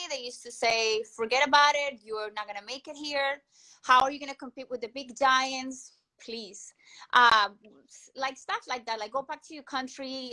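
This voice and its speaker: A high-pitched woman with a Colombian accent, bright and sharp in tone, at a fairly quick pace. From Colombia, Cúcuta. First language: Spanish. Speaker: entrepreneur and inventor. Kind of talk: interview. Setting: live stream interview. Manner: hesitant, many fillers and repetitions.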